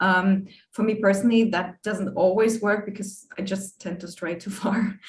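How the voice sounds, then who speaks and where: A woman's medium-pitched, somewhat breathy voice with a non-native accent, monotone and flat, at a moderate pace. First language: not English. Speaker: animator. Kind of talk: panel discussion. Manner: halting.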